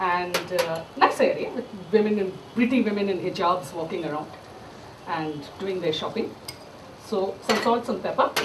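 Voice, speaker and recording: Someone with an Indian accent talks at a moderate pace. Background noise is noticeable. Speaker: chef. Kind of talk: storytelling talk with cooking demo. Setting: stage with audience.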